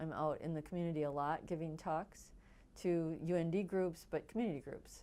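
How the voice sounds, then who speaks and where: A woman with an American accent, fairly low pitch, a dark, mellow tone, fairly even intonation and a fairly quick pace. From Wisconsin, US. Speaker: nonprofit executive director. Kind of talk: documentary interview.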